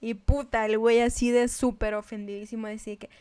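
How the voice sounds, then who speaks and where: On a very clean recording with a silent background, a woman speaks fairly slowly in a fairly high voice. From northern Mexico. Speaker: podcast co-host. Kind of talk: casual chat.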